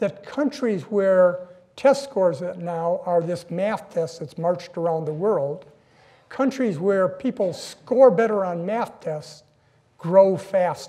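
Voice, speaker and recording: At a very slow pace, a man speaks in a dark, mellow tone. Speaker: guest lecturer. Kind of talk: lecture. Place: hall. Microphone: podium.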